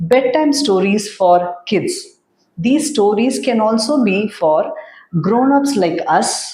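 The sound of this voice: Quiet surroundings behind an unforced reading voice full of lively intonation.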